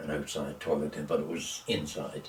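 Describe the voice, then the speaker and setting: A man speaks with a Nova Scotian accent. Room echo is audible. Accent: rural Nova Scotian. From Nova Scotia, East Hants (Maitland area). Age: 90s. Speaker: elderly local resident interviewed about local history. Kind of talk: oral history interview.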